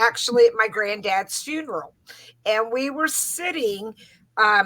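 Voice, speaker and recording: Bright and sharp in tone, a woman with an American accent speaks at a fairly high pitch with lively intonation. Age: 60s. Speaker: psychic aura reader. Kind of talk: interview.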